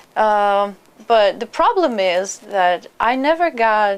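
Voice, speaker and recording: A woman with a Russian accent speaks with ordinary pitch variation in a very clean recording with a silent background. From Russia (Perm). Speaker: immigrant, trained journalist. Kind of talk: interview. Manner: halting.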